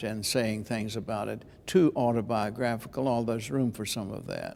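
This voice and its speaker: A man with an ordinary speaking voice talks at a moderate pace, his medium pitch showing ordinary variation. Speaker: preacher and preaching teacher. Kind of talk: interview answer about preaching.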